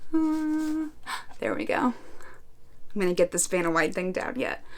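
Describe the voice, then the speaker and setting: The woman's pitch swings very widely as she talks. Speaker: booktuber. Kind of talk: casual vlog. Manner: loud. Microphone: new sensitive microphone.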